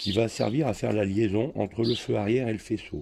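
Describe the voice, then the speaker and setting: A man speaks at a moderate pace in a fairly low, somewhat breathy voice with a dark, mellow tone. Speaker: motorcycle restorer. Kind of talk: tutorial.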